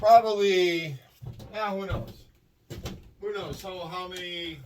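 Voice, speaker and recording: Here a man with a high pitch speaks with a Boston accent. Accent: Boston-area Massachusetts. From Massachusetts, Worcester County. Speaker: scrap metal collector and video creator. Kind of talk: casual tutorial vlog. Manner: casual, rambling with fillers.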